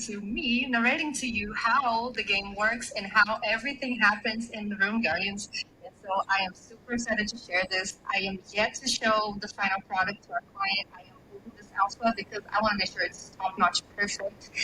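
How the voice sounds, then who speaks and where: A woman with a non-native accent speaks at a moderate pace with hardly any pauses, her fairly high voice keeping a fairly even intonation while her loudness swings widely. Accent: noticeable non-native. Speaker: voiceover artist for a game project. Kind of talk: live audio space chat.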